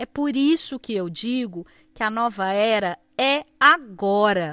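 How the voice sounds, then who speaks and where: A woman speaks with a bright, sharp tone and very wide pitch swings. The recording is very clean, with a silent background. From Brazil, countryside. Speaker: podcast host. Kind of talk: solo podcast monologue.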